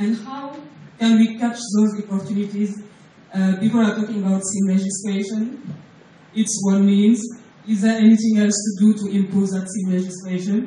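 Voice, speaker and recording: A woman with a non-native accent and monotone, flat intonation, amid audible room echo and noticeable background noise. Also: medium pitch for a woman, moderate pace. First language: not English. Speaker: payments company executive. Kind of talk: conference presentation. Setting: stage at a hotel breakfast forum. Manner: hesitant, many fillers.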